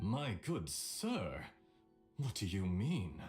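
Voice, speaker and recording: A man puts on a raspy character voice at a fairly low pitch. His pitch swings very widely. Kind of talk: formal, polite ("my good sir"). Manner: fake, exaggerated insulted tone.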